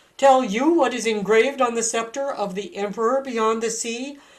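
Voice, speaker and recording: A female-sounding put-on character voice, shrill and fairly high, is raised and projected. It moves at a moderate pace. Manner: angry, scornful.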